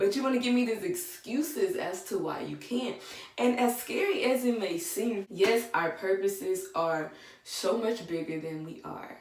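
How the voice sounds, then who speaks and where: A soft-spoken woman with a fairly high pitch talks at a fairly slow pace, her voice making very wide pitch swings. Noticeable background noise and audible room echo fill the recording. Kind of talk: devotional talk with scripture reading.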